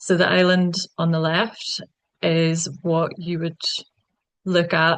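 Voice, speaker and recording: Speaking very slowly in an Irish accent, a woman with a fairly low pitch keeps a monotone, flat intonation. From west of Ireland. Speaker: conservation project worker giving a talk. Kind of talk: slide presentation talk. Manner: frequent fillers (um).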